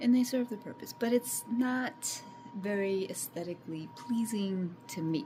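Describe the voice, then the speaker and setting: A woman's medium-pitched voice at a fairly slow pace, with very wide pitch swings and big swings in loudness, over music in the background. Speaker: homesteading vlogger. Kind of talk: casual vlog. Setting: at home. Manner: halting; soft-spoken.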